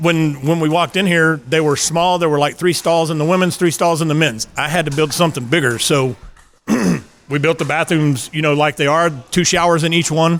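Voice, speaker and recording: A man talks with a slight West Texas accent at a fairly high pitch. His pace is fairly quick, his intonation fairly even and his loudness very even. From West Texas (Midland). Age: 50s. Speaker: pickleball facility owner. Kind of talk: interview. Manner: halting, many repeated words.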